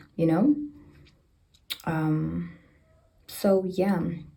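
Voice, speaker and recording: A woman's very deep, low-pitched voice, fairly even in intonation, with audible room echo. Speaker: book vlogger. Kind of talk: casual vlog book review. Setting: bathroom at home.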